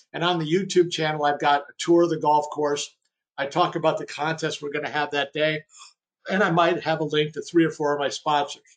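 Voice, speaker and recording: A man with a fairly high pitch speaks at a fairly quick pace in a monotone, flat way, with big swings in loudness. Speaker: webinar presenter on golf fundraising events. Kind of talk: webinar presentation. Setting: online webinar. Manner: fast; casual with fillers and restarts.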